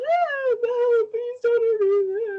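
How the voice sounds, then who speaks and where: Squeaky and extremely high, the voice is a put-on character. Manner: scared, pleading.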